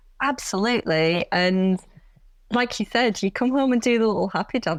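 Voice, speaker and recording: With a Yorkshire accent, a woman talks at a fairly quick pace in a fairly high pitch with lively intonation. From Yorkshire, Bradford. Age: 40s. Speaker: vegan runner and content creator. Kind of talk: podcast interview.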